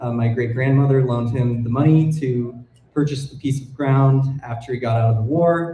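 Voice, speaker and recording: Speaking at a moderate pace, a man with a medium pitch sounds somewhat breathy, with ordinary pitch variation and audible room echo. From Colorado, US. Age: 20s. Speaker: wildlife filmmaker. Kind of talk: public talk. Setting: stage with audience. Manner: hesitant, many fillers.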